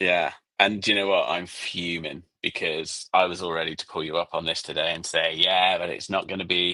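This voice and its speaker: Barely pausing, a man talks at a fairly quick pace in a very deep, low pitch with monotone, flat intonation. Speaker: podcast co-host and email marketing expert. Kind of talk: casual podcast chat.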